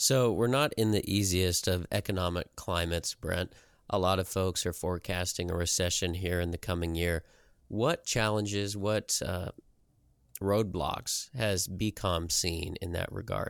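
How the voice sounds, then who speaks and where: The voice carries a Midwestern American accent and moves at a fairly slow pace. The recording is very clean, with a silent background. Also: man, very deep, low pitch for a man. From US Midwest, southeast Nebraska. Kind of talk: interview.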